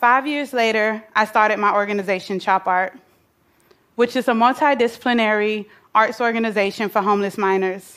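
Fairly high in pitch, a woman speaks in an ordinary speaking voice with an American accent and fairly even intonation. She talks at a fairly quick pace on a very clean recording with a silent background. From US South, Atlanta, Georgia. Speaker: nonprofit founder. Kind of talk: prepared talk.

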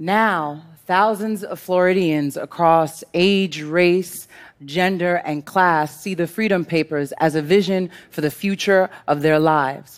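A woman with an American accent and a fairly low pitch speaks very slowly, with fairly even intonation. The recording is very clean, with a silent background. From US Northeast, Brooklyn, New York. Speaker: poet and organizer. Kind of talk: scripted talk on stage.

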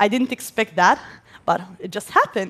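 The speaker has an Arabic accent. The pace is fairly quick. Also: woman. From Gaza, Palestine. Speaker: civil engineer and inventor. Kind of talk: stage talk. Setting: stage with audience.

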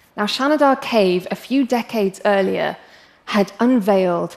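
The speaker talks at a fairly slow pace in an English accent. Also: woman. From England. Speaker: paleoanthropologist. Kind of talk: talk to a live audience. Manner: animated.

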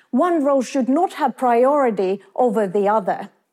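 With a Finnish accent, a woman speaks at a high pitch and a fairly slow pace, her pitch swinging very widely. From Finland. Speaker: business professor. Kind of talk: talk to an audience.

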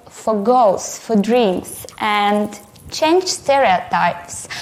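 Amid audible room echo and noticeable background noise, a woman speaks at a very slow pace with lively intonation. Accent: Russian. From Russia. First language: Russian. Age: 20s. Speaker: photographer and artist. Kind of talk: conference talk.

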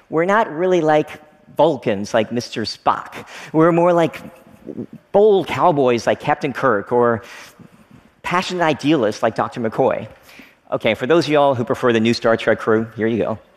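Noticeable background noise surrounds a man with an American accent and a fairly high pitch. He speaks at a moderate pace with lively intonation and long, frequent pauses. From Kentucky, US South. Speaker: technology entrepreneur. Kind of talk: talk to an audience.

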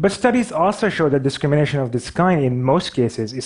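Speaking at a moderate pace, a man with a Pakistani accent has a fairly high pitch. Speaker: visual artist and animator. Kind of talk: stage talk. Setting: stage with audience. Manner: halting.

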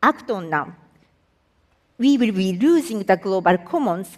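A woman with a Japanese accent, medium in pitch, with lively intonation at a fairly slow pace. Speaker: environmental agency executive. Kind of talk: public talk.

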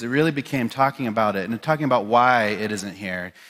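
Very clean, with a silent background, the recording captures a man speaking. He goes at a very fast pace with lively intonation. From South Dakota, Pine Ridge reservation (Lakota). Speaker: chef. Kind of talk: talk to an audience. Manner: casual, with many fillers (um, you know).

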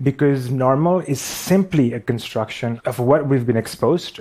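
A man speaks at medium pitch with a Pakistani accent. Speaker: visual artist and animator. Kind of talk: talk on stage. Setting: stage with audience.

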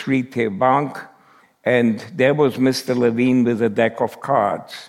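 A man with a German accent, at a very slow pace. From Germany. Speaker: Holocaust survivor and speaker. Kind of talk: talk to an audience. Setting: stage with audience.

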